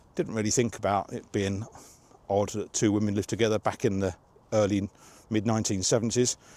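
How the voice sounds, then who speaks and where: A man with a fairly low pitch and a dark, mellow tone speaks at a fairly quick pace with fairly even intonation and long, frequent pauses. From England. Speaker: software developer. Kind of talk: casual monologue to camera while walking. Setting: outdoors. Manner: rambling, hesitant.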